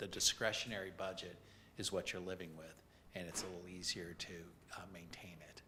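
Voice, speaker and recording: A man speaks at a very deep, low pitch in a bright, sharp tone, fairly quickly and in a monotone, flat delivery. Audible room echo surrounds his voice. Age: 70s. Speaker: affordable housing program presenter. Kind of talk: committee meeting presentation. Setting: city council committee meeting.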